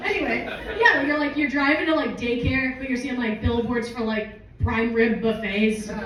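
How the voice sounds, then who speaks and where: A woman talks fairly quickly in an American accent with ordinary pitch variation. Audible room echo and noticeable background noise are present. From US West, Las Vegas. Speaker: comedian. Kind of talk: stand-up. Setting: stage with audience. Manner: casual, filler-heavy.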